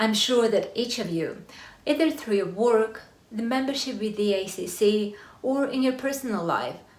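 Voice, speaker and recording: Speaking with a Russian accent at a moderate pace, a woman uses a fairly high voice with ordinary pitch variation in a room with audible echo. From Russia, Siberia. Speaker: corporate lawyer. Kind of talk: talk to an audience. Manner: formal.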